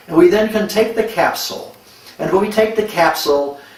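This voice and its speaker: Noticeable background noise and audible room echo surround the voice. A man speaks with ordinary pitch variation. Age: 70s. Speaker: medical doctor promoting a supplement. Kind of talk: product testimonial.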